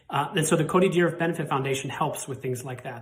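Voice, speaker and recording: Amid noticeable background noise and audible room echo, a man with an American accent speaks with a fairly high pitch and fairly even intonation. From Montana, US. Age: 40s. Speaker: cystic fibrosis patient. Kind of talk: personal testimony and appeal.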